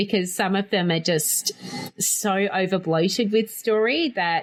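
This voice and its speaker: A woman with an Australian accent speaks at a medium pitch with ordinary pitch variation. Noticeable background noise runs underneath. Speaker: board game podcast host. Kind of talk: casual chat. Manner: animated.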